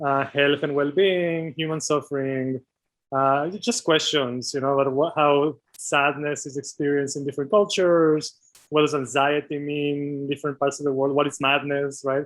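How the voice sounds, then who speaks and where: The man's fairly high voice keeps a fairly even intonation and a moderate speed. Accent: non-native. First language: not English. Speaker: doctoral researcher in medical anthropology. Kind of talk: interview. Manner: hesitant, many fillers.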